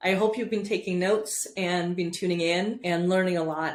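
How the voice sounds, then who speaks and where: A medium-pitched woman's voice at a moderate pace, with ordinary pitch variation and audible room echo. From Europe. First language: not English. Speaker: podcast host. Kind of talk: interview.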